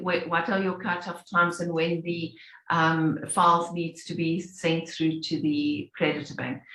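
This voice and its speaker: The speech moves at a fairly slow pace with hardly any pauses. Noticeable background noise can be heard. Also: woman. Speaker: payments industry presenter. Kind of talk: webinar presentation.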